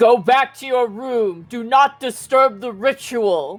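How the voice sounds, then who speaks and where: A man uses a put-on character voice with an extremely high pitch and a stern tone. He talks at a fairly slow pace with music in the background. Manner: commanding, stern.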